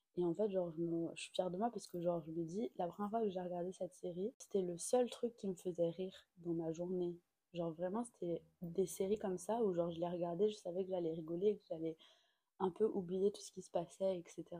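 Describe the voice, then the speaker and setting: Her tone dark and mellow, a woman with a fairly low pitch speaks at a fairly quick pace, her loudness swinging widely. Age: 20s. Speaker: podcast host. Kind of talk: casual chat. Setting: at home. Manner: animated.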